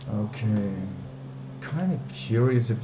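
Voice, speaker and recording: Music plays in the background. The room gives off an audible echo. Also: man. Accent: non-native. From Belgium, Flanders. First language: Dutch. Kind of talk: live stream, casual chat. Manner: hesitant, many fillers.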